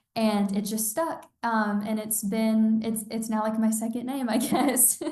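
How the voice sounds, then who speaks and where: Speaking at a fairly slow pace, a woman with a fairly high voice keeps her intonation fairly even, with audible room echo around her. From Georgia. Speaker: college student and online clothing store founder. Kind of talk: casual interview chat.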